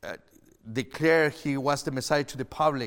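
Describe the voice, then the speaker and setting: This man talks at a moderate pace, his medium-pitched voice keeping a fairly even intonation. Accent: Chilean. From Chile. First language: Spanish. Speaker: pastor. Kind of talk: sermon. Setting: online church service.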